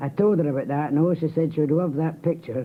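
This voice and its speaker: With a Scottish accent, a man talks at a fairly high pitch and with fairly even intonation. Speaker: marathon figure and physiotherapist. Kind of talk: radio interview.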